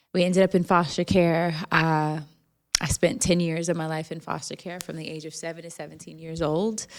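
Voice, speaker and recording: A woman with an American accent and a plain, everyday voice, her loudness swinging widely, her pitch fairly low, her pace fairly quick and her intonation fairly even. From Jacksonville, Florida. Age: 40s. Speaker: podcaster and foster care advocate. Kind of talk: interview.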